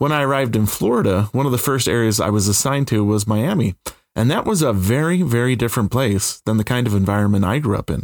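A man with a Utah accent talks at a very fast pace. His loudness stays very even throughout. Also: medium pitch for a man, ordinary pitch variation, very clean recording, silent background. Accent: American (Utah). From central Utah. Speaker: podcast host, professor. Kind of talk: scripted narration.

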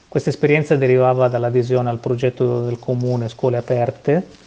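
Against noticeable background noise, a man at medium pitch speaks with monotone, flat intonation. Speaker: foundation secretary general. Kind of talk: interview.

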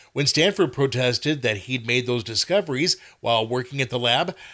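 Pitch moves in an ordinary way here. The delivery is an unforced reading voice.

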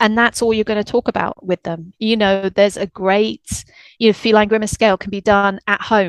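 In a British accent, a woman of medium pitch speaks at a moderate pace with monotone, flat intonation, the sound dry and close with no echo against a quiet background. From UK. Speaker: veterinary rehab technician. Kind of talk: casual interview chat.

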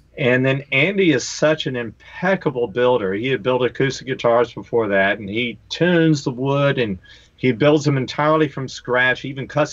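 A man speaks with an American accent in an ordinary speaking voice, at a medium pitch. He keeps a moderate pace with ordinary pitch variation. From North Carolina. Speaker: touring guitarist. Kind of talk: casual chat. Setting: video call.

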